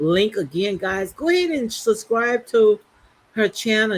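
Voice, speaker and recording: A woman's medium-pitched voice with an American accent, very slow pace and very wide pitch swings. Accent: strong Southern Geechee. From US South. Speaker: live-stream commentary host. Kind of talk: casual live-stream chat. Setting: live stream.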